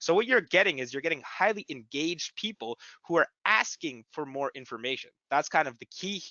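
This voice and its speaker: His pitch swings very widely. This man talks fairly quickly in a fairly high voice. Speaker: webinar presenter, digital marketing agency. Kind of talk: webinar presentation. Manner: stuttering a little.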